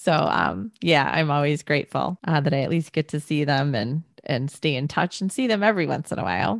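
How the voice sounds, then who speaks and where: A woman's very deep, low voice with vocal fry, an animated tone, very wide pitch swings, a fairly quick pace and hardly any pauses. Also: dry, close sound with no echo. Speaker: podcast host. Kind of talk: interview, conversational.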